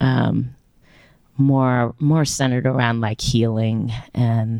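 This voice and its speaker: The voice has a dark, mellow tone and fairly even intonation, moving at a very slow pace. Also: woman. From Louisiana. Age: 30s. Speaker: singer-songwriter musician. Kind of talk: interview chat. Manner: casual, rambling, laughs.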